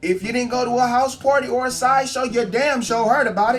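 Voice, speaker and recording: Very fast speech with music in the background. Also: man. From San Francisco Bay Area. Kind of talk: storytime vlog, casual talk to camera. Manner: casual, humorous.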